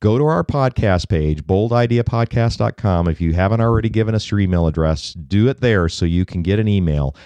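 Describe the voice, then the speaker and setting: Against a quiet background, a man with an unremarkable speaking voice talks at a moderate pace, his fairly low pitch rising and falling in lively intonation, the sound dry and close with no echo. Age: 50s. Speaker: podcast co-host, venture coach. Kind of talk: scripted call to action; casual chat.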